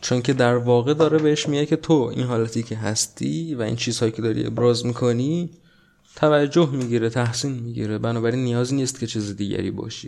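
At a very fast pace, a man of medium pitch talks with ordinary pitch variation. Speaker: podcast host. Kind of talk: solo monologue podcast on politics and society. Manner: casual conversational.

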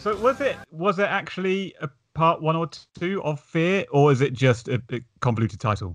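A man with a British accent speaks at a moderate pace and fairly high pitch, with very wide pitch swings. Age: 30s. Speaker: podcast host. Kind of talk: casual chat.

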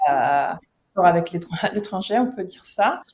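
Very slowly, a woman speaks at medium pitch with an Italian accent. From Sicily, Palermo. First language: Italian (speaking French). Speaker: anti-mafia association volunteer. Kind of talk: interview. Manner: halting, many hesitations.

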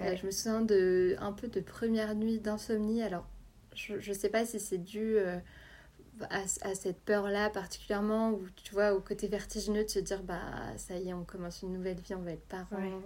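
A woman speaks at a moderate pace with a medium pitch and a dark, mellow tone. Her intonation is monotone and flat. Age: 20s. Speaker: journalist and mother sharing birth story. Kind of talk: testimony.

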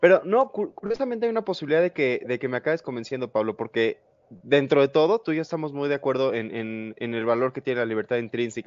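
Pitch moves in an ordinary way for this man. He talks at a very fast pace. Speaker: show host and moderator. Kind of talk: panel debate. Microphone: choppy internet connection.

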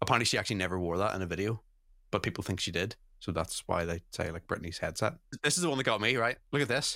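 Speaking very fast, a man with a Northern Irish accent has a fairly low pitch and lively intonation. His tone is bright and sharp, in a very clean recording with a silent background. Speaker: podcast host. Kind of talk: casual chat.

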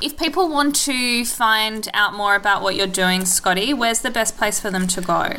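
A woman talks at a moderate pace with hardly any pauses, her pitch fairly high. Noticeable background noise runs underneath. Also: ordinary pitch variation. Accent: Australian. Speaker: podcast host. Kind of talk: casual interview chat.

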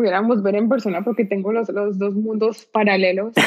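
Amid noticeable background noise, a woman speaks at a fairly high pitch and a fairly quick pace in a monotone, flat intonation. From Colombia, Pereira (paisa region). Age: 30s. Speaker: nonprofit director. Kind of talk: interview.

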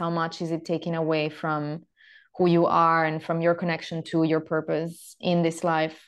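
A woman with an Italian accent speaks at a moderate pace in a fairly low, monotone, flat voice over a quiet background. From Italy. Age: 30s. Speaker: yoga teacher and women's health mentor. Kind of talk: interview. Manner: halting.

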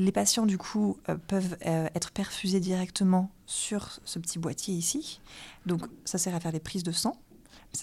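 On a very clean recording with a silent background, a woman speaks at a moderate pace and medium pitch, her tone dark and mellow, somewhat breathy, with fairly even intonation. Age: 20s. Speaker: oncology resident doctor. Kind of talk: medical consultation.

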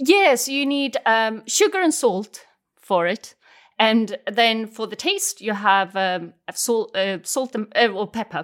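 A woman with a Swedish accent speaks at a very slow pace and a fairly high pitch. Her intonation is lively, and the recording is very clean with a silent background. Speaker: language teacher. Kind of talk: language lesson.

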